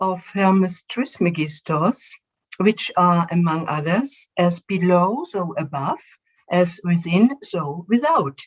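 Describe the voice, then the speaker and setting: Somewhat breathy and at a medium pitch, a woman speaks at a very slow pace with lively intonation, the sound dry and close with no echo. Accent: German. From Germany. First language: German. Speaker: physician and spiritual regression facilitator. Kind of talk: presentation. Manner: halting, with filler words.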